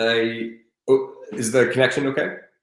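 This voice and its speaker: Speaking at a very slow pace, a man with an American accent is heard with audible room echo. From US, Colorado. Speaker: adventurer and charity fundraiser. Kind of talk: interview conversation. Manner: halting, many restarts.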